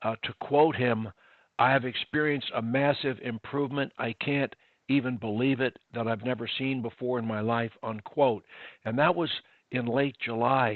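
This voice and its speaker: A man with an unremarkable speaking voice talks at medium pitch and a moderate pace, with fairly even intonation. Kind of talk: podcast host introduction.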